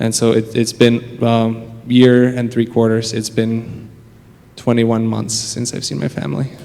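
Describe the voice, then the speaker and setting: A man talks at a fairly slow pace and a medium pitch, his intonation fairly even, while noticeable background noise carries on behind him. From Czech Republic. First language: Czech. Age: 20s. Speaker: church member interviewee. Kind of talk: interview. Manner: hesitant, many fillers.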